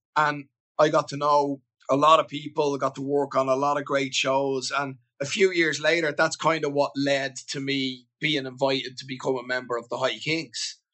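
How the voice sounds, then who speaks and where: Speaking in a Dublin accent, a man with a fairly high pitch keeps a monotone, flat intonation at a moderate pace. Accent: Dublin Irish. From Ireland, Dublin (Beaumont). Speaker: singer-songwriter. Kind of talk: casual interview.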